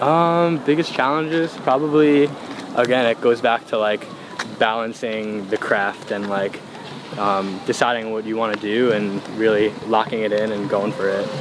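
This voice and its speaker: At a moderate pace, a man with an American accent speaks at medium pitch with ordinary pitch variation. Noticeable background noise sits behind him. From Long Island, New York. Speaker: music producer. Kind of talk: casual chat.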